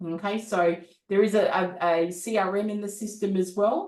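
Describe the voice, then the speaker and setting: Here a woman speaks at a medium pitch. She has an Australian accent. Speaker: business coach. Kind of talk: product demo.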